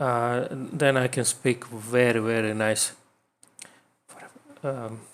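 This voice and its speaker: A man with a non-native accent talks at a medium pitch. His intonation stays fairly even. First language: not English. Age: 30s. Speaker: vlogger. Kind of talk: personal talk to camera. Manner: halting, many fillers and repeats.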